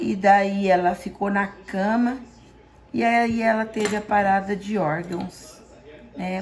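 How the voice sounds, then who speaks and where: A woman speaks at a medium pitch and very slow pace, with fairly even intonation. Long, frequent pauses break up her speech. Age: 60s. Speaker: home cook. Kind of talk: cooking tutorial.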